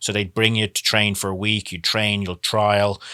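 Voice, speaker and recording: In an Irish accent, a man speaks at a moderate pace with a fairly low pitch, a bright, sharp tone and monotone, flat intonation, on a very clean recording with a silent background and a dry, close sound with no echo. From Ireland, Dublin. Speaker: former professional soccer player. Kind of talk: interview.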